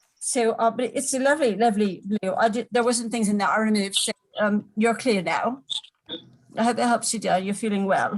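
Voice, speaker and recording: Her voice is fairly high-pitched and somewhat breathy. This woman talks at a fairly quick pace with fairly even intonation. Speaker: psychic medium doing aura readings. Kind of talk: live stream reading. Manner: fast; halting, many fillers.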